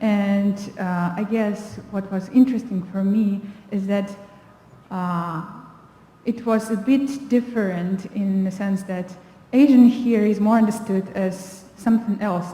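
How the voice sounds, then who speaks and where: Using a Russian accent, a woman talks at a fairly slow pace and medium pitch with fairly even intonation. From Kazakhstan. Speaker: panelist. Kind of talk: panel discussion. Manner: halting.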